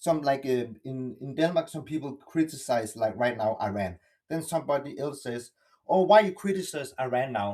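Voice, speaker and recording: A man with a non-native accent speaks at a moderate pace, his voice fairly high with a dark, mellow tone. His intonation is lively, with big swings in loudness. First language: not English. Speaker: participant in online discussion. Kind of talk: open group discussion. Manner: halting, many false starts.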